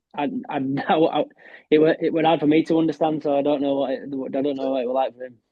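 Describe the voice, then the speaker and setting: In a Yorkshire accent, the speaker talks at a very fast pace with ordinary pitch variation. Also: man, fairly high pitch for a man. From West Yorkshire, Castleford. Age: 30s. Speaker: professional darts player. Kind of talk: podcast interview.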